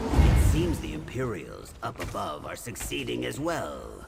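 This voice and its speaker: A man delivers his lines in a put-on character voice, taking a fairly slow pace while loud background noise fills the clip. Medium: machinima. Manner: brisk, confident.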